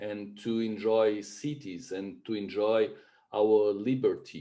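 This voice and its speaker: A man speaks with a Brazilian Portuguese accent. His tone is dark and mellow. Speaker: webinar host. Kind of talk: webinar presentation. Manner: halting, many fillers.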